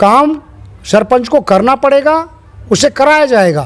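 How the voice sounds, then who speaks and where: A man speaks with lively intonation. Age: 60s. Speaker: local election candidate. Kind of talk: interview.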